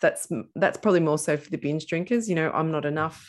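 A woman with an Australian accent talks in a fairly low pitch with ordinary pitch variation. The background is quiet. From Australia, central Victoria. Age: 40s. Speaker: podcast host, former drinker. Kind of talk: interview, personal story.

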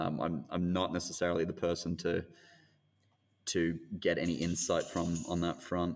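A man with an Australian accent speaks at a very deep, low pitch, leaving long, frequent pauses. His loudness swings widely. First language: not English. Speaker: actor and screen industry manager. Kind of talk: interview conversation. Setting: remote call.

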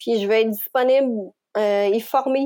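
A woman's dark, mellow tone. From Quebec. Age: 40s. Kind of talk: personal testimony interview. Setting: remote recording. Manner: hesitant with many fillers.

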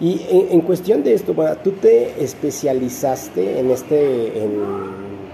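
Noticeable background noise sits behind a man speaking with a Mexican accent. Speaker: podcast host. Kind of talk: podcast interview.

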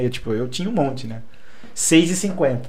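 A man with an unremarkable speaking voice at a moderate pace. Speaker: English teacher and collector. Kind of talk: casual chat.

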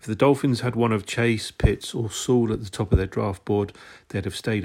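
Speaking at a fairly quick pace, a man with a British accent has a fairly low, somewhat breathy voice. His intonation is fairly even, and the recording is very clean with a silent background. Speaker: sports podcaster. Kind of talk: scripted read. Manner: formal.

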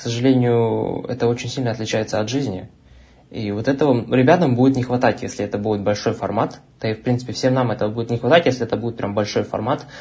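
The voice is somewhat breathy, moving at a very fast pace with fairly even intonation. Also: man, medium pitch for a man. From Russia, Omsk. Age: young. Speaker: university student and online tutor. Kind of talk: casual chat.

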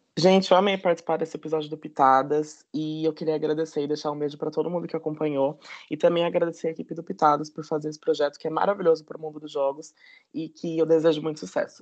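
Talking at a very fast pace, a man with a fairly high pitch keeps his intonation fairly even while his loudness swings widely. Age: 20s. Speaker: podcast guest. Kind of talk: scripted news-style reading.

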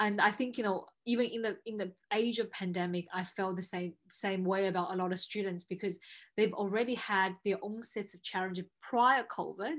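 A woman with an ordinary speaking voice talks at a moderate pace and medium pitch, her loudness swinging widely. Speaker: podcast host. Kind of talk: interview, friendly conversation.

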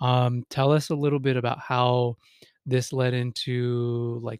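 A man's medium-pitched voice with flat, monotone intonation. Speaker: podcast host, therapist. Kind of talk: casual interview. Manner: informal, filler-heavy.

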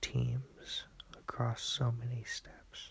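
A man talks at a very slow pace. He is soft-spoken. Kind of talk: casual chat. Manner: quiet, soft-spoken.

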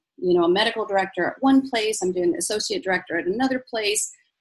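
A woman speaks in a somewhat breathy voice, her pitch swinging very widely. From Egypt, moved to US at five. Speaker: physician and life coach. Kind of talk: interview.

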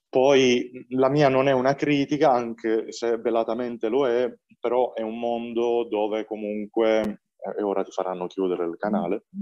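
The man's voice sits at a medium pitch with a dark, mellow tone. The sound is dry and close, with no echo. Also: ordinary pitch variation, moderate pace. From Apulia, southern Italy (Valenzano near Bari). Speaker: film director. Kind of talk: interview. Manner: animated.

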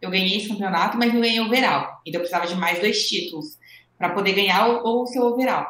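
A woman at a medium pitch talks fairly quickly in an unremarkable speaking voice, with ordinary pitch variation. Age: 20s. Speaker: professional bodybuilding athlete. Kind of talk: interview.

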